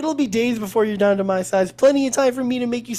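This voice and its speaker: In a put-on character voice with a fairly high pitch, the speaker rattles along at a very fast pace. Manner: mocking, scheming.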